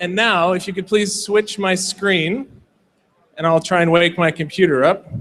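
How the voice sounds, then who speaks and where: An American accent marks this man's speech, delivered at a moderate pace with fairly even intonation. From United States. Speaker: tech company representative presenting at a hackathon. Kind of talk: product demo talk.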